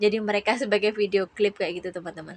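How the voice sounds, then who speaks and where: Medium in pitch with fairly even intonation, a woman talks in a normal speaking voice. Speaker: vlogger, domestic worker abroad. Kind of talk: vlog voiceover narration.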